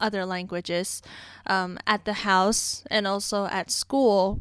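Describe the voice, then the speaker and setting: The speaker talks at a fairly slow pace. A non-native accent colors the speech. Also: woman. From outside the US. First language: not English. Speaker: music teacher. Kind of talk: casual chat.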